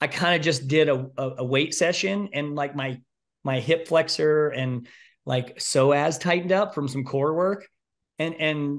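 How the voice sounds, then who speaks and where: A man at a fairly slow pace, his intonation fairly even, over a quiet background. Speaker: guest. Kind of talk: interview answer. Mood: relaxed, chatty storytelling. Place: home room. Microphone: video call.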